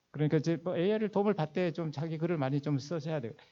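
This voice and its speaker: The man's voice has a dark, mellow tone. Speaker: finance executive and seminar lecturer. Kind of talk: lecture. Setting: church hall seminar. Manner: fast.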